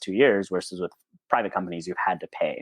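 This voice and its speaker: A man speaks with a very deep, low pitch. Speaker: nurse anesthetist. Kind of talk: conference presentation. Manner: fast.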